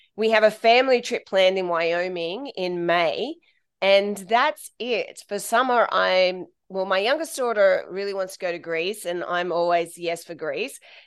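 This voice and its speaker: Over a quiet background, a woman with an Australian accent talks fairly slowly at medium pitch, her pitch varying in an ordinary way. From Central Coast of Australia, small town. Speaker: travel blogger. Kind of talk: interview conversation.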